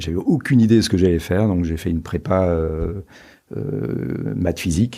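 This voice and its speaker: Pitch moves in an ordinary way over a quiet background. The pace is fairly slow, and the tone is dark and mellow. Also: man. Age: 60s. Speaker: entrepreneur and investor. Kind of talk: podcast interview. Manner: hesitant, many fillers.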